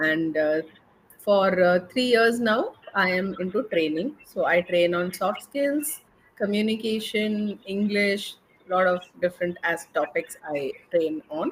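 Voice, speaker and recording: The voice has an Indian accent and lively intonation. It moves at a very slow pace. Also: woman, medium pitch for a woman. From India, Mumbai. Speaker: English and soft skills trainer. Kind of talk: conversation practice interview.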